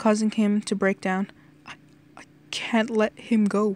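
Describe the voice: What you hear is plain reading aloud.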